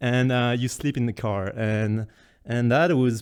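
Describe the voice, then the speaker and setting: On a very clean recording with a silent background, a man with a French accent talks at a fairly slow pace and medium pitch. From France. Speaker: content creator presenting travel photos. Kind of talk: casual presentation. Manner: halting, many fillers.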